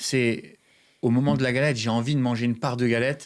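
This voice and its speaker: A man talks fairly quickly in a medium pitch with monotone, flat intonation, captured in a very clean recording with a silent background. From France. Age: 30s. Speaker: pastry chef. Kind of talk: podcast interview. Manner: hesitant, many fillers.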